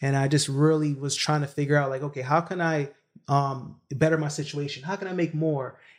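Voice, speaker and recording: Fairly quick and flat in intonation, a man with an American accent speaks at a fairly high pitch, in a monotone. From Brooklyn, New York, from a Jamaican family. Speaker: real estate entrepreneur. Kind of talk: interview.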